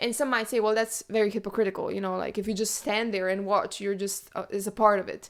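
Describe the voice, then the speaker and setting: With a non-native accent, a woman talks in an animated tone at a very fast pace with hardly any pauses. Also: fairly high pitch for a woman. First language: not English. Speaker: book podcast host. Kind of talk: casual chat.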